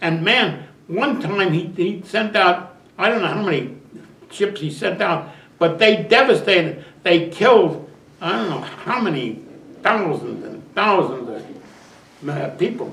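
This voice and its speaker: Lively intonation runs through a man's high voice at a fairly slow pace. There is audible room echo along with noticeable background noise. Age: 90s. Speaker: war veteran. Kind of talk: interview. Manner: halting.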